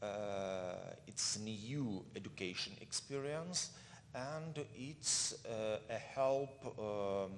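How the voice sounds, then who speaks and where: A man's medium-pitched voice with a non-native accent, very slow pace, and lively intonation. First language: not English. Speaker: state cultural foundation representative. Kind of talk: panel presentation. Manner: halting.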